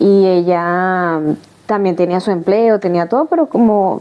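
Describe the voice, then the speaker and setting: There's noticeable background noise as a woman speaks with ordinary pitch variation. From Venezuela, Caracas. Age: 30s. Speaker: migrant sharing her life story. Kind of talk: testimony interview. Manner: halting, many false starts.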